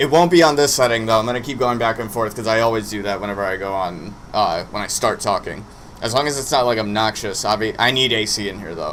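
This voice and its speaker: A man at a very fast pace and medium pitch, with ordinary pitch variation. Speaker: streamer doing wrestling watch-along. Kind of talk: live stream casual chat. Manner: loud.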